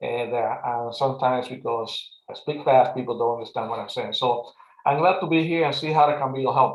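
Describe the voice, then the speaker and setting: A man with a Spanish accent talks at a fairly quick pace. His medium-pitched voice keeps a fairly even intonation. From Puerto Rico. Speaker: advisory committee member. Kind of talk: committee meeting. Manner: fast.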